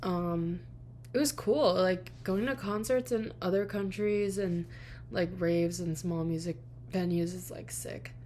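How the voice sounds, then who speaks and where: A woman with an American accent speaks at a fairly slow pace. The room echo is audible. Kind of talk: casual chat.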